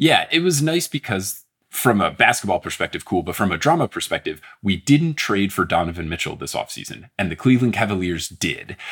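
Speaking with an American accent, a man moves at a fairly quick pace. His fairly low pitch swings very widely. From New Jersey. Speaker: podcast host. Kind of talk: casual chat.

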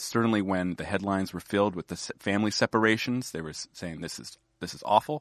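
Against a quiet background, a man with an American accent and a fairly low pitch talks at a very fast pace with hardly any pauses, ordinary pitch variation and big swings in loudness, the sound dry and close with no echo. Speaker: magazine editor. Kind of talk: casual political conversation.

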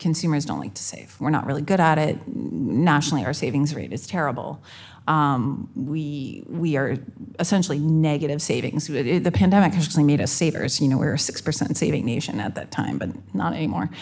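With vocal fry and lively intonation, a woman with a very deep, low voice talks at a fairly quick pace amid audible room echo. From Canada. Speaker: fintech executive. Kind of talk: live panel discussion. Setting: stage with audience.

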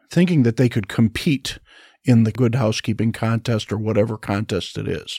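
In a very clean recording with a silent background and a dry, close sound with no echo, a man speaks in a dark, mellow tone. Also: medium pitch for a man, ordinary pitch variation, moderate pace. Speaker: pastor. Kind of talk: panel discussion on church and family.

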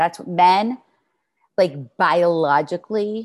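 With an American accent, a woman in a fairly low register speaks in an animated tone with lively intonation over a quiet background. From New York. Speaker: relationship coach. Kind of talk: interview.

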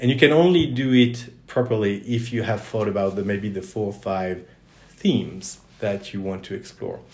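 Spoken in a French accent with lively intonation at a moderate pace. Room echo is audible. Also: man, fairly low pitch for a man. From Southwest France, Toulouse. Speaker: career center director. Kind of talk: interview.

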